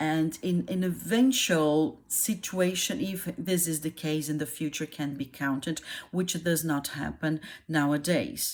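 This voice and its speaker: A woman with a Brazilian Portuguese accent speaks at a fairly slow pace in a very deep, low pitch, with ordinary pitch variation. The recording is very clean, with a silent background. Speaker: YouTuber explaining her country. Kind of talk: casual explainer monologue. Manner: halting, many fillers.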